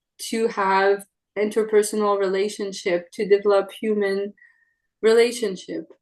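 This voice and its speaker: This woman talks in a Quebec French accent. Her pace is fairly slow, over a quiet background. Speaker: trumpet player. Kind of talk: interview.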